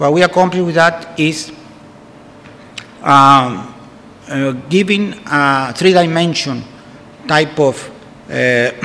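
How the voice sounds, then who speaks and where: Speaking very slowly with long, frequent pauses, a man with a Spanish accent and fairly high pitch shows ordinary pitch variation amid noticeable background noise and audible room echo. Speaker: food science professor. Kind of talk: conference lecture. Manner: halting, many fillers.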